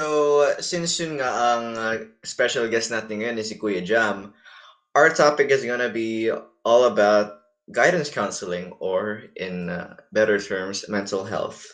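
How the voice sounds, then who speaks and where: Lively intonation in a Filipino accent at a fairly slow pace. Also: man, medium pitch for a man. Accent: Filipino English, Taglish. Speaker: podcast host. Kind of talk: casual podcast interview.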